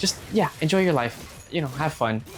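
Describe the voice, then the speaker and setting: With music in the background, a man's fairly high voice moves in very wide pitch swings. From Cuban-American family. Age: 20s. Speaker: gaming YouTuber. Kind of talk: casual gameplay commentary. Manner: rambling, conversational.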